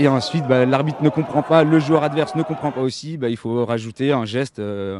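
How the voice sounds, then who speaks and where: This man's speech moves fairly quickly, his pitch varying in an ordinary way, while noticeable background noise runs underneath. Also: medium pitch for a man. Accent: slight Belgian. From Belgium. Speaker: rugby player. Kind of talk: casual interview. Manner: hesitant, many fillers.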